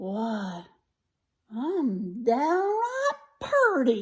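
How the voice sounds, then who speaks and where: A woman puts on a character voice, pitched high and swinging very widely up and down. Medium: read story.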